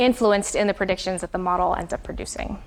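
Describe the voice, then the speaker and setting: This woman talks at a very fast pace with ordinary pitch variation. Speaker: university lecturer. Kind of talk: lecture.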